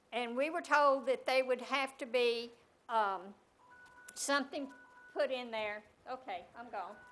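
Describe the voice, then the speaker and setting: With music in the background, a woman speaks at a high pitch and a fairly slow pace, with long, frequent pauses, big swings in loudness and ordinary pitch variation. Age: 80s+. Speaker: resident speaking at citizens forum. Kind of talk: public comment. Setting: city hall meeting room with audience. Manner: halting.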